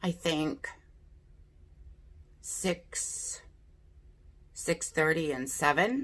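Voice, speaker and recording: A woman speaks at a very slow pace. Her speech has long, frequent pauses. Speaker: beauty youtuber. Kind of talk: casual chat. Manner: chatty.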